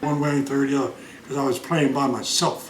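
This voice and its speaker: There is noticeable background noise and audible room echo. Through it, a man speaks with an American accent. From Pennsylvania and Delaware, US. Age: 70s. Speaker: grandfather telling life stories. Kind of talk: casual family interview. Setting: at home. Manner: hesitant, many fillers.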